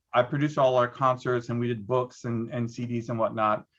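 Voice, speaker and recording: Here a man speaks at a moderate pace and medium pitch. His is an unremarkable speaking voice. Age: 60s. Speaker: arts producer and former dancer. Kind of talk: panel discussion.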